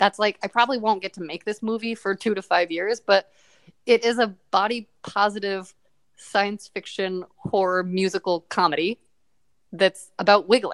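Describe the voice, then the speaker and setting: A woman speaks at a moderate pace with fairly even intonation in an ordinary speaking voice. The sound is dry and close, with no echo. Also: medium pitch for a woman. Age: 30s. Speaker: sex podcast host and actor. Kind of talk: casual chat.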